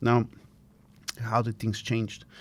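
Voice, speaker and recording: A man's medium-pitched voice comes through a very clean recording against a silent background. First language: not English (English is fifth language). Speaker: design academic and innovation leader. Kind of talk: interview. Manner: hesitant with fillers.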